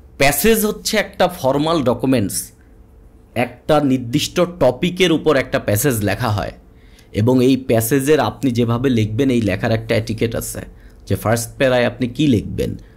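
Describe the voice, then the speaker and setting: Vocal fry colors a man's medium-pitched voice, which shows ordinary pitch variation. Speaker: exam prep tutor. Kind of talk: webinar lecture. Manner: conversational.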